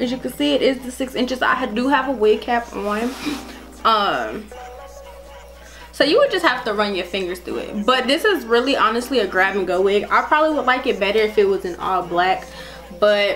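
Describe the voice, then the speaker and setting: With music in the background, a woman speaks at a moderate pace in an upbeat tone with lively intonation. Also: fairly high pitch for a woman. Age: 20s. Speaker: beauty vlogger. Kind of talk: casual talk to camera.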